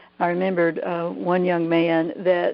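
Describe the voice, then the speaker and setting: A woman in a Southern US accent, fairly low-pitched, at a moderate pace. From US South, Georgia. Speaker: therapist, EFT trainer. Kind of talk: webinar interview. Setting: online call. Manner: hesitant, many fillers.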